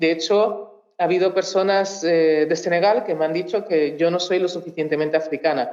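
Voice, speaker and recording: In a Portuguese accent, a woman speaks at a fairly low pitch and a moderate pace. Her pitch varies in an ordinary way, and room echo is audible. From Mozambique. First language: Portuguese (speaking Spanish). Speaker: researcher. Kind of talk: talk at a public cultural event. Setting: auditorium with audience. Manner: halting, many fillers and restarts.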